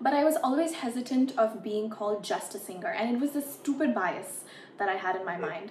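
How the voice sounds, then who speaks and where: Over noticeable background noise, a woman talks at a fairly quick pace in an American accent. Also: lively intonation. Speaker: musician and content creator. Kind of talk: casual interview chat.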